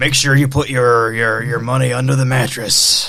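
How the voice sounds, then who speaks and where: A man does a raspy put-on character voice at a medium pitch and moderate pace, with flat, monotone intonation. Light background noise runs underneath. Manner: bombastic, gruff.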